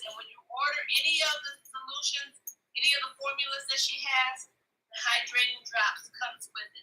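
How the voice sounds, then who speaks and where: A raised, projected voice from a woman, high in pitch, with fairly even intonation at a moderate pace. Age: 60s. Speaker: customer giving product testimonial. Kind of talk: live demonstration and testimony. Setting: live video stream.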